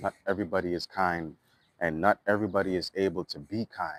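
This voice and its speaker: A man with a Trinidadian accent and a very deep, low pitch speaks at a moderate pace, the sound dry and close with no echo. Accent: Trinidadian dialect kept. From Trinidad and Tobago, East Dry River. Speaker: musician and vlogger. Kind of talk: casual monologue vlog. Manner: animated.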